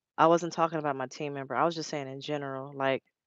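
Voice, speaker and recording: A woman talks very fast. Her intonation is flat and monotone. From Los Angeles, California. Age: 30s. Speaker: truck driver and live streamer. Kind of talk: casual live stream chat. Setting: live stream. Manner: fast, run-together speech.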